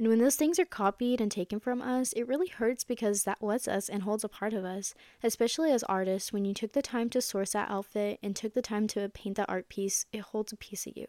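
A woman talks at a fairly high pitch in a dark, mellow tone, quickly and with hardly any pauses. Her pitch varies in an ordinary way, and the sound is dry and close with no echo. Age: young. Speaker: college student podcast host. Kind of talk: advice podcast.

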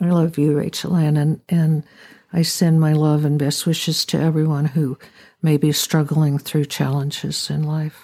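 In a very clean recording with a silent background, a woman with a very deep, low pitch and a dark, mellow tone speaks at a moderate pace in monotone, flat intonation. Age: 70s. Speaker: host's mother, wildfire survivor. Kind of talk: testimony. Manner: halting.

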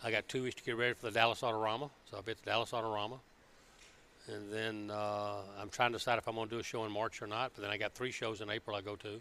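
A man with a Southern US accent talks at a very fast pace in a fairly low pitch. His tone is bright and sharp, with monotone, flat intonation. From Alabama. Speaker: car builder. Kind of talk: casual chat. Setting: car show floor.

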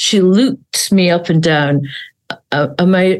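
A woman speaks with an Essex accent. Her pitch is fairly low, with ordinary variation. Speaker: hypnotherapist. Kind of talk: casual chat. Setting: video call.

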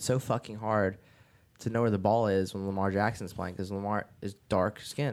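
Using a plain, everyday voice, a man speaks at a fairly quick pace with a fairly low pitch. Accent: American. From New Jersey. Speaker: DJ and music producer. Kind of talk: casual chat.

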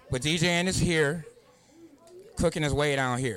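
A man's fairly high-pitched voice with an American accent, moderate pace, ordinary pitch variation, and a plain, everyday voice. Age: 50s. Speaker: DJ. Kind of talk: post-set shout-outs and advice to the crowd. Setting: club with live audience. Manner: earnest, plain-spoken.

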